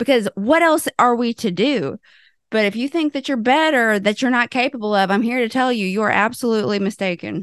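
A woman with a Southern US accent speaks fairly quickly in a fairly high voice, with an animated tone and lively intonation, over a quiet background. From US South. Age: 30s. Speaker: intuitive life coach and podcast co-host. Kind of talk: casual chat.

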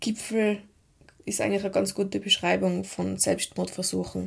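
A woman speaks with a slight Tyrolean accent. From Tyrol, Austria. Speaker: mental trainer and podcast host. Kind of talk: personal monologue podcast.

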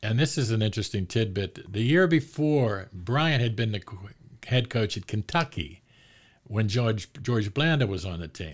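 A man with an American accent speaks in a somewhat breathy voice with lively intonation. The recording is very clean, with a silent background. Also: medium pitch for a man, moderate pace. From Pittsburgh, Pennsylvania. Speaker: sports author. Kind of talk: casual interview. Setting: studio.

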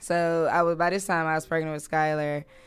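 Music plays behind a woman with an American accent. Her very deep, low pitch stays monotone and flat at a moderate pace. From US South, Durham, North Carolina. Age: 30s. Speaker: creative entrepreneur and digital coach. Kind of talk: casual interview chat. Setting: studio.

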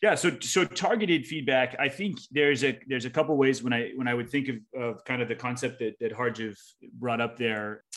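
At a fairly quick pace, a man talks in a normal speaking voice. He has a medium pitch and ordinary pitch variation. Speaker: volleyball coach and grad student. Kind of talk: panel discussion.

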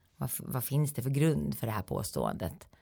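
Talking at a fairly quick pace, a woman uses very wide pitch swings, with a dark, mellow tone and vocal fry. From Sweden, Eskilstuna. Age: 40s. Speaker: health lecturer and coach. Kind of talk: interview.

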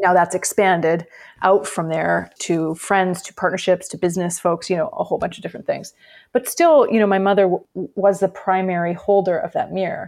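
A woman's ordinary speaking voice at a medium pitch, fairly quick in pace, with fairly even intonation. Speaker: author. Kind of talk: interview.

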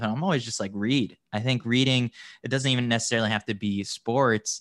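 Against a quiet background, a man talks at a very fast pace with fairly even intonation, and the sound is dry and close with no echo. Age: 20s. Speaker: sports writer. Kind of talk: casual interview chat.

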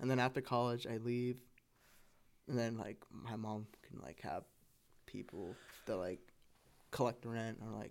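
A man with an American accent speaks at a medium pitch and a moderate pace. His intonation stays fairly even, broken by long, frequent pauses. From California suburbs. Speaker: guest. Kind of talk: casual chat.

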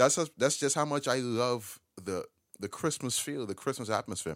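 Animated in tone, a man speaks at a fairly quick pace. The recording is very clean with a silent background and a dry, close sound with no echo. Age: 20s. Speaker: podcast host. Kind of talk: solo podcast monologue.

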